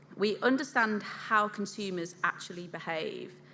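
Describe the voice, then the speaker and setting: Audible room echo surrounds a woman with a Yorkshire accent. She talks at a moderate pace. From England, Yorkshire. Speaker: food industry consultant, conference speaker. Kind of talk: conference keynote presentation.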